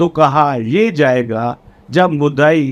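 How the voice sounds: A man speaks at a slow pace. His intonation is lively.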